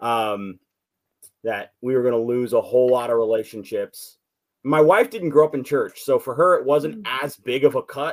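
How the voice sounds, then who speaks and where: A man with an American accent uses an ordinary speaking voice, speaking at a moderate pace with a fairly high pitch and lively intonation. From US Southwest and Northern California. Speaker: artist, former church member. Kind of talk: testimony.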